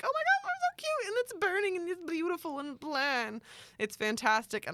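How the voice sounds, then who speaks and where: A put-on character voice moves at a moderate pace with very wide pitch swings. The recording is very clean, with a silent background. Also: woman, extremely high pitch for a woman. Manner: panicky, exaggerated.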